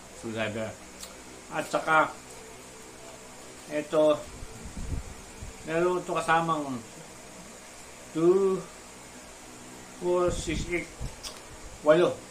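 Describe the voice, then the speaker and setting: A man with a high pitch and ordinary pitch variation, speaking at a very slow pace with long, frequent pauses, over noticeable background noise. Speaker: drone hobbyist vlogger. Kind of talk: unboxing tutorial. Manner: stuttering, halting.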